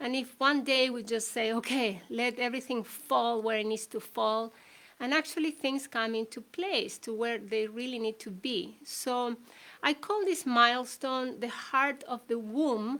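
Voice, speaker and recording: Recorded very cleanly against a silent background, a woman with a Spanish accent speaks fairly slowly in a high, bright, sharp tone with ordinary pitch variation. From Chile. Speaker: shamanic healer and author. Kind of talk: talk. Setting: livestream. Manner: hesitant.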